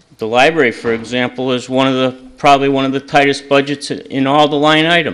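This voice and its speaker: A man's intonation stays fairly even as he speaks at a moderate pace. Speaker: resident speaking at public comment. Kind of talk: public comment. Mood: critical, argumentative. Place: hall. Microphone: podium.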